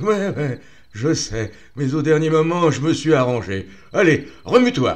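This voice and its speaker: A man uses a loud, put-on character voice at a fairly high pitch. He speaks at a fairly slow pace. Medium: read story. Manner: blunt, familiar.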